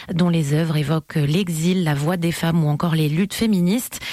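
A woman speaks in a fairly low pitch with a slightly mellow tone. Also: dry, close sound with no echo.

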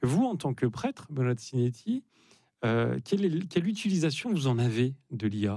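A man's medium-pitched, dark, mellow voice with a slightly husky edge, big pitch swings and a moderate pace

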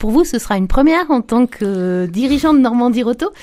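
Her fairly high voice has a slightly mellow tone, moving at a fairly quick pace with lively intonation.

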